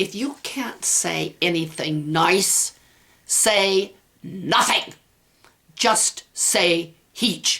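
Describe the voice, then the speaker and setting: A woman in a put-on character voice speaks at a very slow pace and a medium pitch. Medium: read story. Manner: gruff, scolding.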